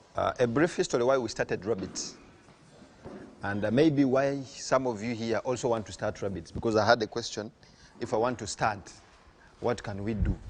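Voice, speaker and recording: With a Ugandan accent, a man speaks at a moderate pace and medium pitch. His pitch varies in an ordinary way, with long, frequent pauses. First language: Luganda. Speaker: farm owner and CEO. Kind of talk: farm talk to visiting farmers.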